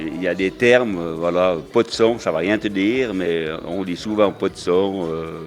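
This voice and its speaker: A man's very deep, low voice at a fairly slow pace. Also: ordinary pitch variation. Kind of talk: interview answer.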